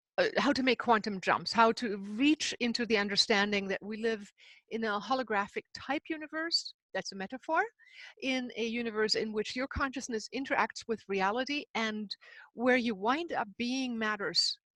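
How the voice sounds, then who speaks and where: A woman speaks at a moderate pace with a German accent, her fairly high voice bright and sharp in tone. Her pitch varies in an ordinary way, and the sound is dry and close with no echo. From Himalayas and Germany. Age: 60s. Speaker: spiritual author and seminar leader. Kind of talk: interview.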